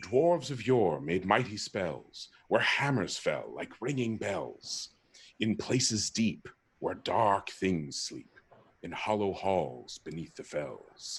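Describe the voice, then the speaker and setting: A man puts on a character voice, gravelly and fairly low in pitch. He talks at a fairly slow pace. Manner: wise, solemn.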